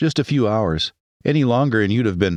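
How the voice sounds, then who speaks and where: A put-on character voice moves at a fairly quick pace with very even loudness. The sound is dry and close, with no echo. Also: man, quiet background. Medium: read story. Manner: friendly, easygoing.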